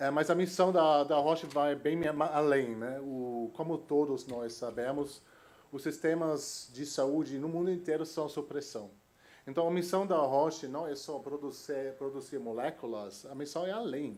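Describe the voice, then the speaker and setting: Audible room echo surrounds a man's voice. He has a fairly high pitch and a fairly slow pace. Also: ordinary pitch variation. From Germany. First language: German (speaking Portuguese). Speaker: innovation executive. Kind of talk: conference talk. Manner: halting, many fillers.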